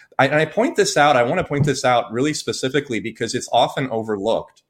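A man's unremarkable speaking voice, its pitch medium and its pitch variation ordinary. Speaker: psychiatrist and podcast co-host. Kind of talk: political commentary. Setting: video call.

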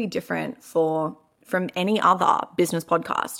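A woman with an Australian accent and a bright, sharp tone, on a very clean recording with a silent background. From Melbourne, Australia. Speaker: podcast host, business coach. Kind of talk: casual monologue. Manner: animated.

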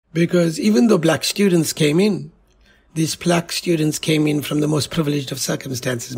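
Fairly high in pitch with vocal fry, a man talks at a fairly quick pace with ordinary pitch variation. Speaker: university director. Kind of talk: interview.

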